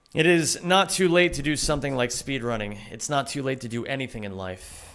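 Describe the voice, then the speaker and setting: Speaking at a fairly quick pace, a man with a medium pitch and lively intonation uses an unremarkable speaking voice. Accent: American. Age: 30s. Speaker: video game streamer and speedrunner. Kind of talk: live stream chat while playing. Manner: casual, conversational.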